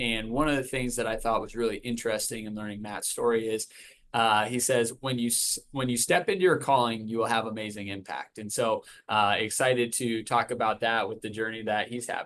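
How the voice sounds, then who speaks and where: A man with a normal speaking voice talks at a fairly quick pace. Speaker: podcast host. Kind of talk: podcast intro.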